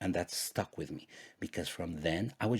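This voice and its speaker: This man has a very deep, low pitch and a Spanish accent. His voice is somewhat breathy, at a moderate pace. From Guatemala. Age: 40s. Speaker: podcast host. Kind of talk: personal storytelling monologue.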